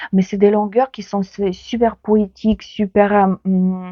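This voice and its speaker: A woman with a Ukrainian accent and a medium-pitched voice speaks at a very slow pace. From Ukraine. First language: Ukrainian (speaking French). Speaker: book vlogger. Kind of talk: casual book talk to camera. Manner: hesitant, many fillers.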